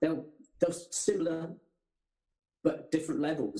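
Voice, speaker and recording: A man speaks at a fairly high pitch with a dark, mellow tone and vocal fry. His intonation is lively. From England, military family, childhood partly abroad. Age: 60s. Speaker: surfer, former surfing champion. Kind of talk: casual interview chat.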